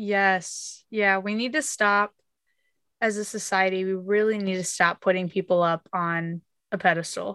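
Recorded very cleanly against a silent background, a woman with an American accent speaks fairly slowly at a medium pitch, her tone bright and sharp and her intonation fairly even. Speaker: podcast host. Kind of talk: casual interview chat.

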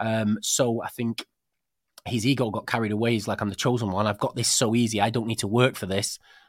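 A man with a British accent, medium pitch and monotone, flat intonation at a fairly quick pace, in a dry, close sound with no echo. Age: 40s. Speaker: podcast host. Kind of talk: casual chat. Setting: studio.

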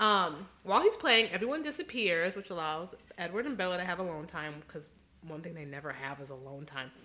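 A woman with an unremarkable speaking voice talks at a fairly quick pace with lively intonation. Her pitch is fairly low, and her loudness swings widely. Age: 20s. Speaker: podcast co-host. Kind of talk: casual chat.

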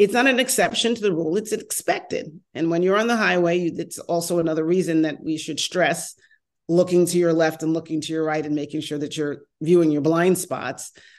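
Someone with a New York accent talks at a fairly quick pace with ordinary pitch variation against a quiet background. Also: woman, fairly low pitch for a woman. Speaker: mobility industry consultant and former transportation official. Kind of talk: casual interview conversation. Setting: video call, remote, based in Los Angeles.

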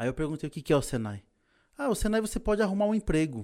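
Very wide pitch swings from a man with a fairly high pitch, recorded very cleanly against a silent background. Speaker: technical instructor and competition trainer. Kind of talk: casual interview. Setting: studio.

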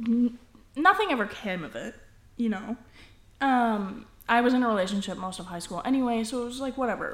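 A woman with an ordinary speaking voice talks at a moderate pace, her fairly high pitch carrying lively intonation and big swings in loudness. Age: 20s. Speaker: podcast co-host. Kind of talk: casual chat.

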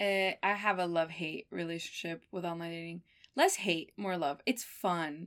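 On a very clean recording with a silent background, a woman talks. She has a medium pitch and a Miami accent. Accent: American (Miami). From Miami, US. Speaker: graduate student. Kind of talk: casual chat.

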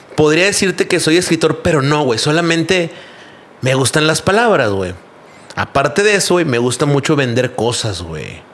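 Over noticeable background noise, a man talks with a fairly high pitch and lively intonation. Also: moderate pace. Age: 30s. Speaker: graphic designer and entrepreneur. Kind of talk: casual chat.

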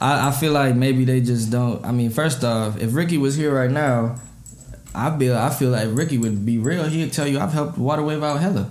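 Audible room echo surrounds a man with an American accent, speaking at medium pitch. He goes at a fairly quick pace, with very even loudness and ordinary pitch variation. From Minnesota. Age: 20s. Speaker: rapper. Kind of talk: casual chat.

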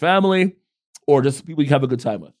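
Very fast speech in a very clean recording with a silent background. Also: man. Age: 40s. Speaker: podcast co-host. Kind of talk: casual chat. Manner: direct.

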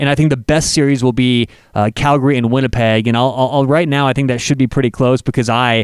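Medium pitch from a man in a normal speaking voice, fairly quick and fairly even in intonation, with a dry, close sound with no echo on a very clean recording with a silent background. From Colorado, US (Denver). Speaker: sports betting podcast host. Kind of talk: solo podcast monologue. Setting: studio.

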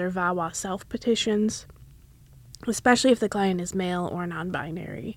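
A woman with an American accent has an ordinary speaking voice, using fairly even intonation at a moderate pace. The recording is very clean, with a silent background. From Wisconsin, US. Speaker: law student podcast host. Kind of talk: podcast introduction.

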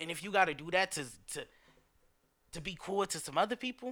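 The tone is animated. The pace is fairly quick. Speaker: podcast host. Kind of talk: casual podcast monologue, motivational talk. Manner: animated, emphatic, street-slang heavy.

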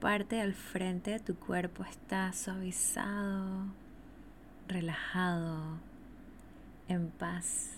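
A somewhat breathy woman's voice at medium pitch, soothing and calm in tone, with fairly even intonation and a very slow pace. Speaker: podcast host and energy teacher. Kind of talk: guided meditation (yoga nidra), spoken slowly to the listener. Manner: slow, soothing, calm, repetitive, with long pauses; warm, gentle, intimate.

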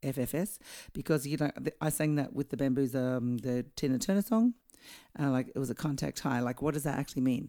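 A woman's very deep, low voice with a dark, mellow tone, in an Australian accent, at a fairly quick pace with very even loudness, on a very clean recording with a silent background. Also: ordinary pitch variation. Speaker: singer and guest co-host. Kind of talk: casual chat. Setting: at her home.

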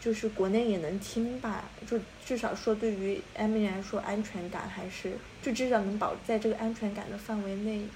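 Speaking at a moderate pace, a woman keeps a fairly high pitch in a monotone, flat delivery. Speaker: podcast co-host. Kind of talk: casual chat.

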